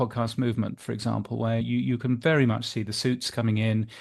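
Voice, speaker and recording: A man in a British accent talks at a very fast pace. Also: quiet background. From Britain. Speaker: podcast industry newsletter editor. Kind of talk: interview.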